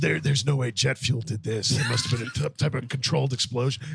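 A raspy, put-on character voice. It moves at a fairly quick pace. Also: man, medium pitch for a man.

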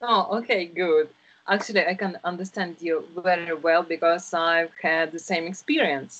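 A woman with a fairly low pitch and a Russian accent. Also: fairly even intonation, moderate pace. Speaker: English teacher. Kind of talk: online tutoring lesson. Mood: friendly, encouraging. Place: home room. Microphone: video call.

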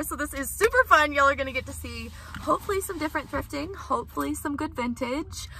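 A woman speaks in a raised, projected voice at a fairly quick pace. The sound is dry, with no echo. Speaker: thrift vlogger. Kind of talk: casual vlog chat. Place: car. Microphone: phone near.

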